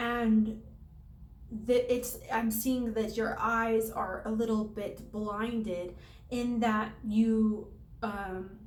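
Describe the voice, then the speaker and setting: A woman speaks very slowly in a fairly high, somewhat breathy voice. Her intonation is monotone and flat, with audible room echo. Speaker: tarot reader. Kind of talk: tarot reading to camera. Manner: halting, many fillers.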